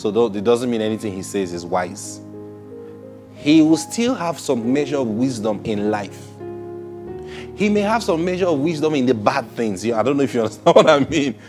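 Over clear background music, a man talks with long, frequent pauses. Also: moderate pace. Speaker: preacher hosting a broadcast. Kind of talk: sermon-style teaching. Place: studio. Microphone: lapel.

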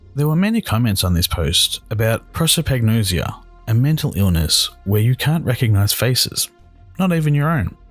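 A medium-pitched man's voice in an Australian accent, with very wide pitch swings, very even loudness and a moderate pace, over music in the background. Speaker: horror story narrator. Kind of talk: scary story narration.

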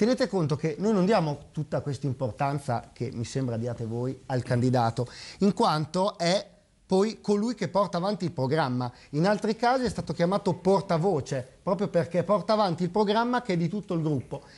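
A moderate pace with very wide pitch swings. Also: man, high pitch for a man. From Parma, northern Italy; northern Italy. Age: 30s. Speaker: local political candidate; candidate. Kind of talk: TV political debate. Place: studio.

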